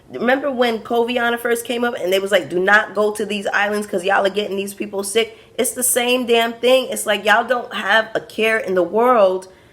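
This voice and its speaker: A woman with an American accent speaks at a moderate pace in an animated tone, her pitch fairly high. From Brooklyn, New York, Caribbean family. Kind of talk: casual review vlog.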